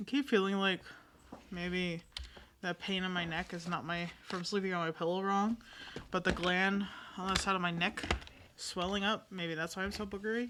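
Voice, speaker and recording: A woman speaks at a moderate pace with ordinary pitch variation and long, frequent pauses. Noticeable background noise runs behind her. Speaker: gaming streamer. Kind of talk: casual chat.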